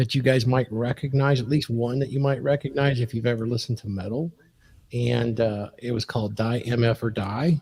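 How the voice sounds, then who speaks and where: Somewhat breathy, a man speaks at a medium pitch and fairly quick pace, with fairly even intonation and a dark, mellow tone. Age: 60s. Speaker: podcast guest. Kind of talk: casual chat.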